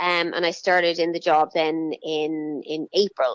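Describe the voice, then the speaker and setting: A woman speaks with a Dublin accent. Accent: Dublin Irish. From Ireland, north County Dublin. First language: Irish. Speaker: children's TV presenter. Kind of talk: interview.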